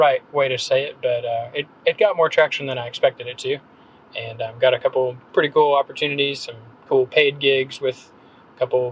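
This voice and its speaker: In an American accent, a man speaks at a moderate pace with a fairly high pitch, his voice dry and close with no echo over noticeable background noise. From North Carolina, Gaston County small town. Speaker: copywriter and blogger. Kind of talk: podcast interview. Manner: casual, many fillers.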